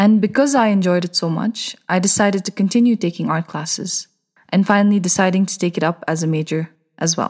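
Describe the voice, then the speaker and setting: Somewhat breathy and at a medium pitch, a woman talks at a fairly quick pace with ordinary pitch variation. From Bhutan. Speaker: painter. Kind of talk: scripted narration.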